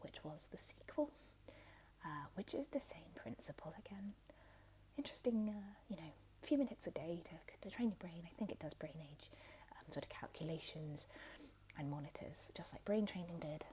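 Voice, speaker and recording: A soft-spoken woman talks with long, frequent pauses. Her loudness swings widely. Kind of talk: ASMR roleplay as a retro game store clerk. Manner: soft-spoken, relaxing.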